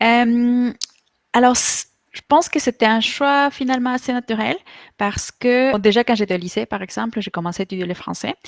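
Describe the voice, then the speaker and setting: A woman with a Spanish accent talks at a moderate pace in a fairly high voice with ordinary pitch variation. The recording is very clean and dry, with a silent background and a close sound with no echo. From Mexico. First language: Spanish (speaking French). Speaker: online Spanish teacher. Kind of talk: interview. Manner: halting, many fillers.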